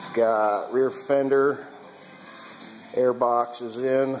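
A man speaks over faint music in the background. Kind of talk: casual vlog narration. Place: garage. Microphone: phone near.

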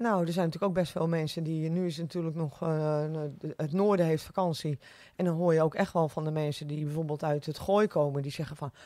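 Speaking at a fairly quick pace, a woman has a very deep, low pitch, a dark, mellow tone and fairly even intonation, with dry sound, no echo and a quiet background. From West Friesland, Netherlands (Oude Niedorp); West Friesland. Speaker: restaurant owner; podcast guest. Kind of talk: casual interview. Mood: cheerful, smiling. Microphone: studio mic.

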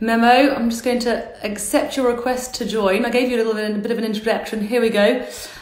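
Talking at a very fast pace with hardly any pauses, a woman keeps a monotone, flat intonation over audible room echo. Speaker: livestream host. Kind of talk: casual livestream introduction. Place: home room. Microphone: phone near.

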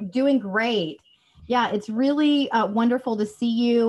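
A woman talks fairly slowly in a somewhat breathy voice, her pitch varying in an ordinary way. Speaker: workshop host, PR coach. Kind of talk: workshop talk on a video call. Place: home room. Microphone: studio mic.

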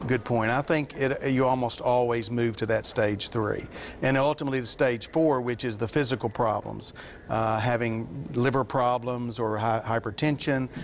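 Fairly even intonation over light background noise. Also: man, moderate pace. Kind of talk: interview answer. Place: studio. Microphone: lapel.

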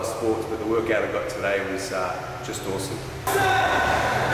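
A man's voice amid noticeable background noise and strong room echo. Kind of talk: interview answer. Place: gym.

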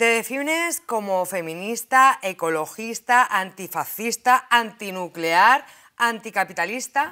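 A woman speaks at a very slow pace, her pitch fairly high and her tone bright and sharp. Her intonation is lively, and the background is quiet. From Madrid (Vallecas); Madrid. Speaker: talk show host. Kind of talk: panel discussion host. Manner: animated. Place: studio.

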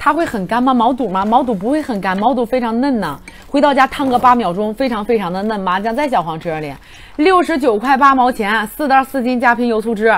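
At a very fast pace, a woman with fairly high pitch speaks in an animated tone with lively intonation. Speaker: livestream seller. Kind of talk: rapid-fire livestream hard-sell pitch, countdown to flash sale. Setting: livestream studio. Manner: excitable, hype-driven, rapid repetition of prices and urgency; animated, loud exclamations while eating. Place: studio. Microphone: lapel.

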